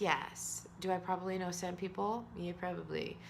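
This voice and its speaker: A loud woman speaks at a fairly slow pace, her pitch medium and her tone bright and sharp. Room echo is audible. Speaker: author and vlogger. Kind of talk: personal vlog monologue. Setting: alone, self-recorded video.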